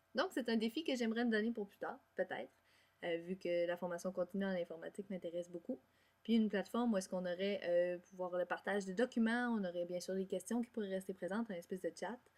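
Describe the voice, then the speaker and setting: Very fast female speech at a medium pitch, its pitch varying in an ordinary way. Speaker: music education student. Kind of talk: class presentation.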